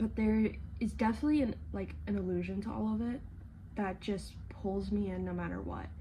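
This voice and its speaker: A soft-spoken woman talks at a moderate pace. Audible room echo surrounds her voice. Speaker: vlogger. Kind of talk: casual chat. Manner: low-energy, lethargic.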